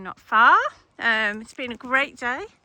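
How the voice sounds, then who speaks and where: A woman projects her raised voice at a high pitch with a bright, sharp tone. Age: 60s. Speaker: hiking vlogger. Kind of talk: casual vlog narration while walking. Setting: outdoors.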